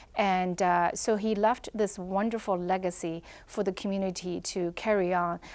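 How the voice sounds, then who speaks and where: A woman speaks in a monotone, flat intonation. The recording is very clean, with a silent background. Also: medium pitch for a woman, moderate pace. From China. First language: Chinese. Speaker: newspaper editor, former journalist. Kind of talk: interview.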